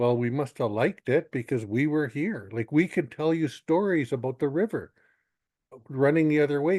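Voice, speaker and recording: At a moderate pace, a fairly high-pitched man with a dark, mellow tone and ordinary pitch variation speaks in a dry, close sound with no echo. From northern British Columbia, Canada (First Nations). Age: 60s. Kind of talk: webinar panel talk. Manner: halting, with many false starts.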